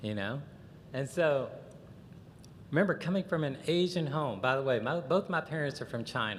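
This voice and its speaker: In a Southern US accent, a man with a fairly high pitch talks with lively intonation and long, frequent pauses. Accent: Southern drawl. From US South, Chattanooga, Tennessee. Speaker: conference speaker. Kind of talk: lecture. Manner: animated.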